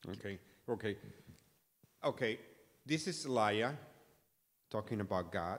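The tone is fairly bright, with lively intonation. The pace is fairly slow. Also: man, fairly low pitch for a man.

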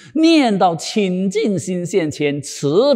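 Over a quiet background, a man with a dark, mellow tone speaks with very wide pitch swings. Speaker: Buddhist dharma teacher. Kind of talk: sutra lecture. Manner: animated. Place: studio. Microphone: lapel.

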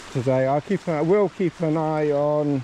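Over light background noise, a man speaks very slowly with ordinary pitch variation in a dry sound with no echo. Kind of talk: casual vlog chat. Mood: relaxed, amused. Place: open country. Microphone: phone near.

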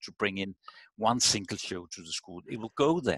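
A man speaks at a fairly low pitch. The sound is dry with no echo, over a quiet background. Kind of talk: video call discussion answer. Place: home room. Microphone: headset.

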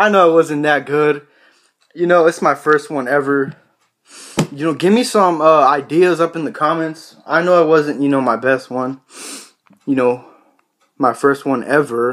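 Against a quiet background, a man speaks at a moderate pace with ordinary pitch variation. He leaves long, frequent pauses. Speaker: vlogger. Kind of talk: casual vlog chat. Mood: joking, amused storytelling. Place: home room. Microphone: phone near.

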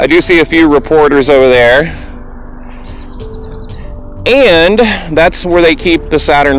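Faint music plays in the background of a dry recording with no echo. The speech moves at a fairly slow pace. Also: man. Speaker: vlogger filming on a walk. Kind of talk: casual vlog chat. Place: open country. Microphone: lapel.

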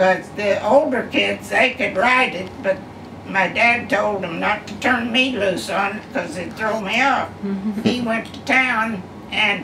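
Noticeable background noise surrounds a woman talking at a fairly slow pace with a fairly high pitch and fairly even intonation. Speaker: retired farm woman. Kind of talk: interview answer. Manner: casual storytelling. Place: home room. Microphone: camera far.

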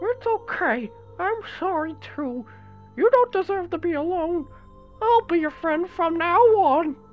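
A put-on character voice speaks at a fairly slow pace over faint background music. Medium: dub. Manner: kind, reassuring.

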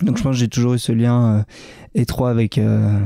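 This man has a dark, mellow tone and a medium pitch. His intonation stays fairly even. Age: 20s. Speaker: trail runner, world champion. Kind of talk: interview. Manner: halting, many hesitations.

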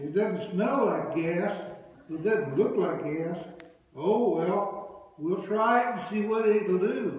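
A man speaks very slowly in a high pitch. Strong room echo hangs around his voice. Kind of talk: storytelling to an audience. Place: church. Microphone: camera far.

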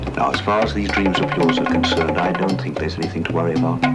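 Loud music plays behind a voice moving at a very fast pace. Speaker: film character, doctor or advisor. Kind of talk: low-budget spy thriller film dialogue. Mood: reassuring. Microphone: old recording.

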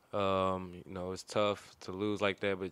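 A man speaks at a fairly low pitch, the sound dry with no echo. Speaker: college basketball player. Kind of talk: press conference. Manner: hesitant, many fillers. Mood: subdued after a close loss. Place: meeting room. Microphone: podium.

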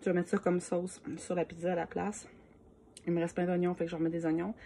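A woman with a Quebec accent talks at a very fast pace, with a fairly low pitch and a dark, mellow tone. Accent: Québécois French. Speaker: home cooking video creator. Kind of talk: cooking tutorial. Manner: casual, with many hesitations. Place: kitchen. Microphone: phone near.

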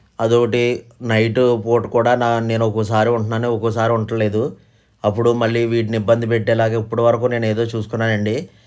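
His pitch is medium for a man. The man's intonation is monotone and flat. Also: very clean recording, silent background. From Andhra Pradesh, near Eluru. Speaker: poultry breeder and craftsman. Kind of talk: sales pitch. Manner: halting.

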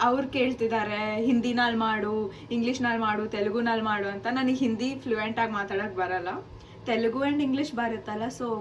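Audible room echo and noticeable background noise, with fairly even intonation. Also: woman, fairly high pitch for a woman. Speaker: vlogger, student. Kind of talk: casual vlog talk to camera.

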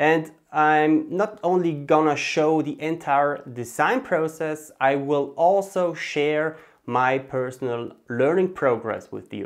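Over a quiet background, a man speaks very slowly with ordinary pitch variation. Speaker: 3D artist youtuber. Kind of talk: casual vlog intro to a tutorial series. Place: home room. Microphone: lapel.

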